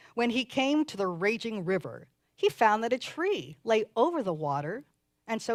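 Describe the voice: The background stays quiet. What's heard is plain reading aloud.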